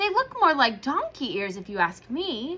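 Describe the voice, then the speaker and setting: Here a woman puts on a character voice, pitched high. Her pitch swings very widely. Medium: read story.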